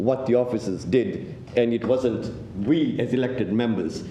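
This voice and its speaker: The recording carries audible room echo. Noticeable background noise is present as well. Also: man. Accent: non-native. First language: not English. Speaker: city councillor. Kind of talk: council meeting debate speech. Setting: council chamber meeting.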